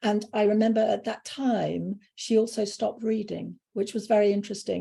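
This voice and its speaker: A woman with an English accent speaks at a moderate pace. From UK. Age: 60s. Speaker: spiritual speaker. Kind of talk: interview.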